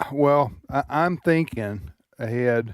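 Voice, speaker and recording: A man with a Mississippi accent talks at a medium pitch with lively intonation. The recording is very clean, with a silent background. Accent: Southern American (Mississippi). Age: 60s. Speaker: radio talk show host. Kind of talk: casual chat. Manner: halting, many restarts.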